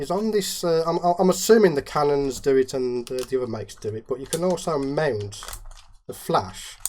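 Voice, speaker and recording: A man with a Midlands accent speaks at a moderate pace in a fairly high voice, his pitch swinging very widely and his loudness rising and falling sharply, with long, frequent pauses and noticeable background noise. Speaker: macro photographer and YouTuber. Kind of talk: casual interview chat.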